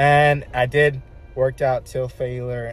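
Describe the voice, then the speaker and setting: A man is speaking, and faint music plays in the background. The sound is dry, with no echo. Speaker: fitness vlogger. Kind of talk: casual vlog chat. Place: car. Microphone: phone near.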